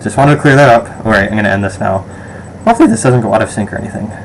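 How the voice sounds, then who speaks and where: A man is talking, and noticeable background noise can be heard throughout. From Western New York, Rochester. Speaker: vlogger. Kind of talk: casual survey vlog. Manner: hesitant, many fillers.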